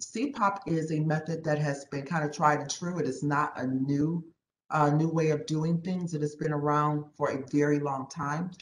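A woman talks at a fairly slow pace in a very deep, low pitch with fairly even intonation. Light background noise and audible room echo are present. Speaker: presenter. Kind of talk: meeting presentation. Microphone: video call.

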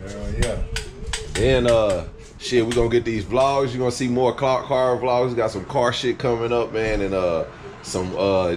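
The speech runs at a fairly slow pace with fairly even intonation over light background noise. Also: man. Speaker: vlogger. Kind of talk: casual vlog chat. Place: garage. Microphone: phone near.

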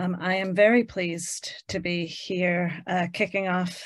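A woman's fairly slow speech shows ordinary pitch variation, heard over a quiet background. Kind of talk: formal introduction. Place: home room. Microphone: video call.

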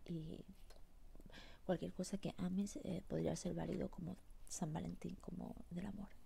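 A soft-spoken woman whispering at a fairly slow pace, with long, frequent pauses. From Spanish, living in the United States. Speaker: ASMR creator. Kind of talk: ASMR eating sounds and whispered chat. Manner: whispering, soft. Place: home room. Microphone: earbuds.

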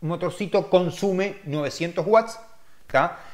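A man's voice sits at a high pitch, and the background is quiet. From Uruguay. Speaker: car detailer and channel host; car detailing channel host. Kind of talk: live-stream chat answering viewer questions. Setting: live stream. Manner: casual, hesitant with many fillers. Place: home room. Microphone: webcam.

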